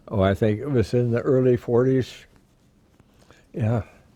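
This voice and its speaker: A man speaks with a Midwestern American accent at a medium pitch. His tone is dark and mellow, the sound is dry and close with no echo, and his pace is fairly slow. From Iowa, USA. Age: 90s. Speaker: war veteran. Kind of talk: interview answer.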